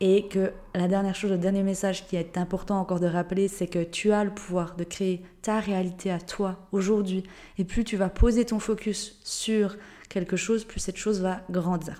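At a moderate pace, a woman with a medium pitch talks in a dark, mellow tone with monotone, flat intonation. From Switzerland, Jura (Ajoie). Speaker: life and business coach, podcast host. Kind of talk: unscripted solo podcast monologue. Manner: casual, spontaneous.

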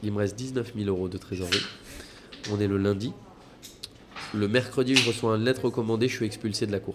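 Speaking at a fairly quick pace but with long, frequent pauses, a man with a fairly low pitch is heard over noticeable background noise. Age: 20s. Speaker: restaurant entrepreneur. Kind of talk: casual chat. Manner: animated.

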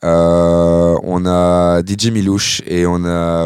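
A man is speaking. His pitch is very deep and low. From Belgium, Nivelles area. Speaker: club artistic director and DJ. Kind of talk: interview conversation. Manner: halting, many repetitions and fillers.

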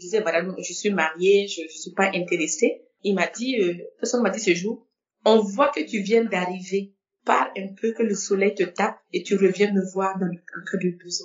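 Her loudness swinging widely, a woman talks at a moderate pace and medium pitch with ordinary pitch variation. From Burkina Faso. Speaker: insurance professional. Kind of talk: interview testimony. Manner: halting.

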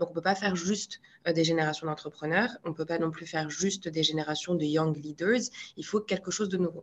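Here a woman with an ordinary speaking voice talks at a fairly quick pace. Her pitch is fairly low, with fairly even intonation. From Morocco, Marrakech. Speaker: public policy incubator co-founder. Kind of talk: interview conversation.

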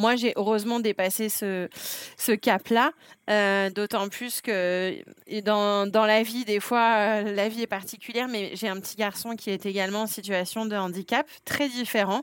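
A woman speaks at a fairly slow pace in a fairly high pitch, recorded very cleanly against a silent background. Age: 40s. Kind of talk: interview testimony. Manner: hesitant, many fillers.

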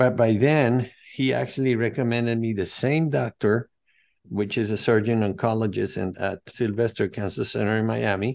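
Over a quiet background, the speaker uses a Spanish accent with fairly even intonation at a moderate pace. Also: man, medium pitch for a man. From Venezuela. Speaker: holistic health coach and cancer survivor. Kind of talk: interview.

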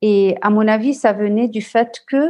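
A woman's fairly high-pitched voice against a quiet background. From Lebanon. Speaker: social entrepreneur, CEO. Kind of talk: interview. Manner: halting, repeats words.

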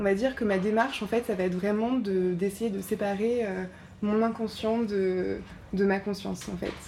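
A woman's medium-pitched voice moves at a fairly slow pace, her intonation fairly even. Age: 30s. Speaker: visual artist. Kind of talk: interview. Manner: halting, many hesitations.

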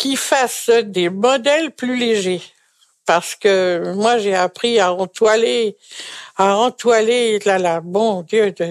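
A woman's medium-pitched voice, very slow, with ordinary pitch variation and a dry, close sound with no echo. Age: 80s+. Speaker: retired seamstress. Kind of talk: testimony. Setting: retirement residence.

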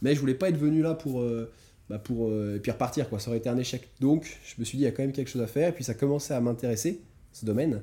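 A man's somewhat breathy, dark, mellow voice at medium pitch and a very fast pace, with ordinary pitch variation, in a very clean recording with a silent background. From France. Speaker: entrepreneur. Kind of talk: casual interview. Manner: halting, many repetitions.

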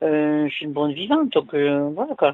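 A woman at a fairly quick pace with very wide pitch swings. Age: 60s. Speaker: caller. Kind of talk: phone-in call.

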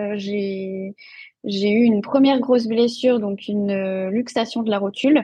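At a very slow pace, a woman speaks in a somewhat breathy voice. Her pitch is fairly high and her intonation fairly even. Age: 30s. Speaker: nutrition and fitness coach, former speech therapist. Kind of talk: podcast interview.

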